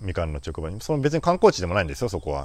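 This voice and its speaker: Speaking at a very fast pace, a man with vocal fry and a very deep, low pitch makes very wide pitch swings. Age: 40s. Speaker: flower farmer. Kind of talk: casual monologue podcast. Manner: halting, many fillers.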